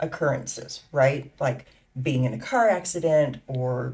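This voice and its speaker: A woman's somewhat breathy voice moves at a fairly slow pace. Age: 60s. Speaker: patient. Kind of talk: testimony.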